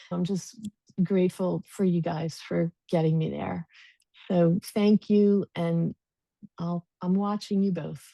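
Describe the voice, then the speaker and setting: With a dark, mellow tone and a fairly low pitch, a woman talks at a very slow pace in a monotone, flat intonation, the sound dry and close with no echo. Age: 60s. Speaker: program student. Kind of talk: testimonial on group video call. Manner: halting.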